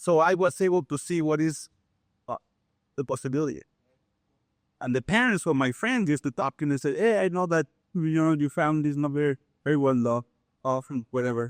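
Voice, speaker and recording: In a quiet background, a man with a fairly high pitch and ordinary pitch variation talks at a fairly quick pace, broken by long, frequent pauses. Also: dry, close sound with no echo. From Mexico City, Mexico. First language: Spanish. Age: 60s. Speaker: contractor. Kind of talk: life story talk. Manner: animated.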